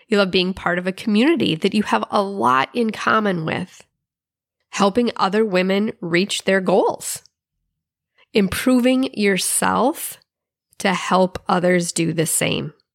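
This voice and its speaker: Recorded dry and close with no echo, a woman speaks in an unremarkable speaking voice at medium pitch and a fairly slow pace, with ordinary pitch variation and very even loudness. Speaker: podcast host and success strategist. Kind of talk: pep talk, motivational monologue. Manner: warm, encouraging, upbeat; rhythmic, repetitive 'You love...' list delivery.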